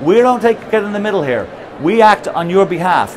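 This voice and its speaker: A man with a high pitch talks at a very fast pace over noticeable background noise. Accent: Irish. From Ireland. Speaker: company founder and CEO. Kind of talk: conference presentation. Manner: halting with repetitions.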